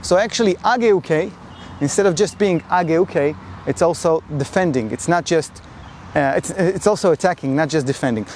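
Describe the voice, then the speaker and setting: A high-pitched male voice with lively intonation at a moderate pace. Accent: non-native. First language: not English. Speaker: karate instructor. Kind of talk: tutorial. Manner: halting.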